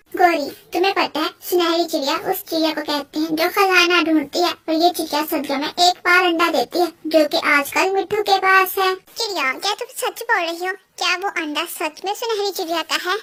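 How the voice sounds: A squeaky, female-sounding cartoonish character voice with extremely high pitch runs on with hardly any pauses. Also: moderate pace.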